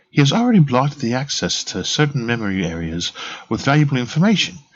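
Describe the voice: Simple, plain reading aloud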